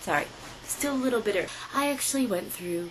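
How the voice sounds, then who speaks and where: Noticeable background noise sits behind a woman whose pitch swings very widely. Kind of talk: political commentary read to camera. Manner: hesitant, stammering.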